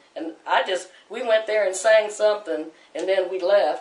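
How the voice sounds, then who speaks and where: Speech comes at a fairly quick clip with an American accent. Noticeable background noise sits behind it. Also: woman. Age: 60s. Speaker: church choir leader. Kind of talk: testimony. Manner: casual conversational, storytelling.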